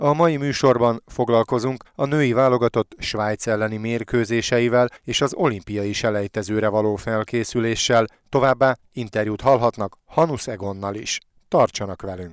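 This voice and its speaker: A plain, everyday voice from a man at medium pitch, fairly slow in pace with ordinary pitch variation, on a very clean recording with a silent background. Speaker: sports radio host. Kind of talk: news reading. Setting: studio. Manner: formal.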